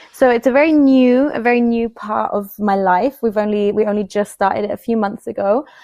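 Hardly pausing, a woman talks at a fairly quick pace with a fairly high pitch and ordinary pitch variation, in a dry, close sound with no echo but noticeable background noise. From Switzerland, Bern (English-speaking family). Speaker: creative director. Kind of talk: interview. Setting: remote call from home.

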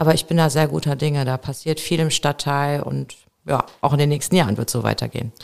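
Over noticeable background noise, a woman with a very deep, low pitch talks at a fairly quick pace. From Remscheid, western Germany (Bergisches Land). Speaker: local politician, city councillor. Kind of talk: interview.

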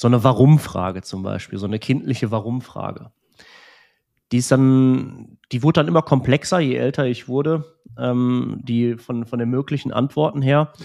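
This is a man's voice at medium pitch. His tone is dark and mellow. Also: ordinary pitch variation, moderate pace, very clean recording, silent background. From Romania (Transylvania), raised in Germany. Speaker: music school director. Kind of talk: personal testimony in conversation.

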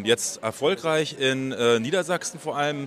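A man's fairly high voice with ordinary pitch variation, amid noticeable background noise. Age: 40s. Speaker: special education teacher and startup founder. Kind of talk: interview. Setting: recorded on site at an education congress.

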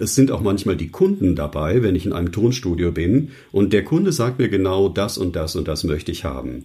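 A man speaks with a very deep, low pitch and a dark, mellow tone, somewhat breathy. His pace is moderate and his intonation lively. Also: hardly any pauses. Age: 60s. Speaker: news announcer and voice coach. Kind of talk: interview.

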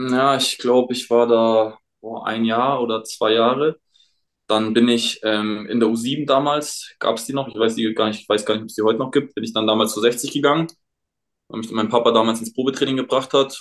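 A man talks in a plain, everyday voice at medium pitch. His intonation stays fairly even, and his pace is moderate. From Munich, Bavaria. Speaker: professional footballer. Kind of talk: casual chat. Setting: remote call from home.

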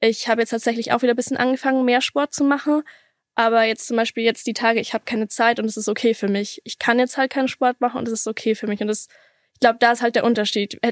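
On a very clean, dry, close recording with a silent background and no echo, a woman speaks at a very fast pace with a fairly high pitch, monotone, flat intonation and big swings in loudness. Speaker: interview guest sharing experience of exercise addiction and eating disorder. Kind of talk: personal testimony in an interview.

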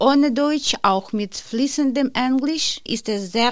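At a very slow pace, a woman is talking. Lively intonation marks her delivery. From Ukraine. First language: Ukrainian or Russian (speaking German). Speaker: course participant. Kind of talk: reading aloud.

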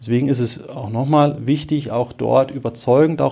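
The speaker is a man with a medium pitch. He talks at a fairly slow pace with fairly even intonation. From Marburg, Hesse, Germany. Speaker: bank advisor. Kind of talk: expert interview. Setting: in person, Marburg. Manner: hesitant with filler sounds.

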